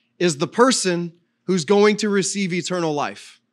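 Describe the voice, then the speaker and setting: Over a quiet background, a man talks at a moderate pace in a high-pitched voice. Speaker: pastor. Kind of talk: sermon. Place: church. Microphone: handheld.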